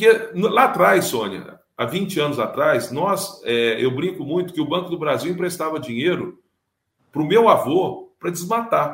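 Lively intonation marks this man's high-pitched voice, which holds a moderate pace. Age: 50s. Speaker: business owner. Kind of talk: interview.

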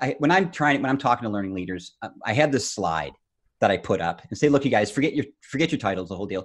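Very fast male speech with vocal fry against a quiet background. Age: 50s. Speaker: learning consultant and author. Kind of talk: interview. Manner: animated; repetitive stammering starts.

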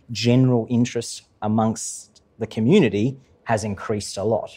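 A man's dark, mellow tone stands out against a very clean recording with a silent background. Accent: Australian. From Queensland, Australia. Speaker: transport engineer and policy head. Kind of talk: live interview before audience. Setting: stage with live audience in museum.

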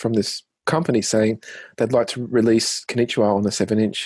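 Talking with an Australian accent, a man moves at a fairly quick pace with a medium pitch and fairly even intonation over a quiet background. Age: 30s. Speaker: singer and musician. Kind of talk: interview. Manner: hesitant, many fillers.

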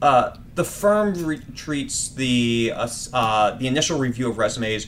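In a plain, everyday voice, a man speaks at medium pitch with lively intonation. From Washington, D.C. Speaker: recruiting manager. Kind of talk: casual interview.

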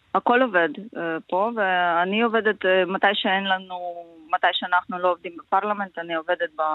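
At a moderate pace, a woman speaks with medium pitch and fairly even intonation. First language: Ukrainian (speaking Hebrew). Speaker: member of parliament. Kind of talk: interview. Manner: halting.

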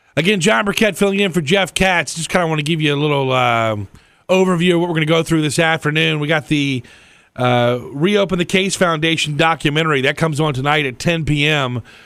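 In a very clean recording over a silent background, a man has a normal speaking voice at a fairly high pitch with ordinary pitch variation. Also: fairly quick pace. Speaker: radio host. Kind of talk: casual radio talk show. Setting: studio.

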